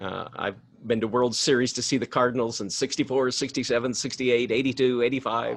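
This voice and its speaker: A man with an American accent has a plain, everyday voice. He talks at a fairly quick pace with fairly even intonation. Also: medium pitch for a man. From US Midwest, Missouri. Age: 60s. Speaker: ministry director. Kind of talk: casual talk to ministers in a webinar.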